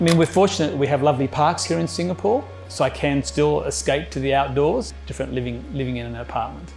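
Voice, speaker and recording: Speech comes at a very fast pace with an Australian accent and hardly any pauses. Music plays in the background. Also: man. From Australia, rural New South Wales. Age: 60s. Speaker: retired geologist. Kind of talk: interview testimony. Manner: halting.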